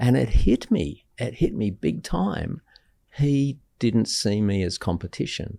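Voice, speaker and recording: On a very clean recording with a silent background, a man with an Australian accent speaks fairly slowly in a fairly low pitch, with a dark, mellow tone and very wide pitch swings. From Australia, Sydney. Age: 60s. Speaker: guest speaker on mental health. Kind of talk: casual chat. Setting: stage with audience.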